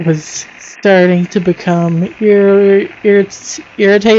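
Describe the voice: The voice is plain reading aloud with fairly even intonation.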